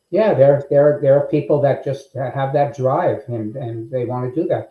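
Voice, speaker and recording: Somewhat breathy and dark, mellow in tone, a man talks at a moderate pace in a fairly high pitch with ordinary pitch variation. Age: 70s. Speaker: business founder and CEO. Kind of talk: interview. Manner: halting, many fillers.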